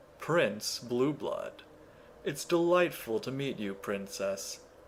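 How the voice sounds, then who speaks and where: A man uses a put-on character voice at a fairly high pitch. He speaks at a very slow pace over clear background noise. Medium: read story. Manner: pompous, self-satisfied.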